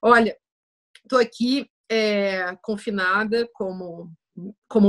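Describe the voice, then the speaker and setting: A woman's voice, dry and close with no echo. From Brazil. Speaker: writer and philosopher. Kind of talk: casual interview conversation.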